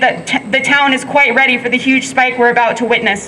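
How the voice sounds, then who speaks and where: A woman speaks in a raised, projected voice at a very fast pace. Noticeable background noise is present. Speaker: protest speaker, frontline worker. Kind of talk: protest speech. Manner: loud.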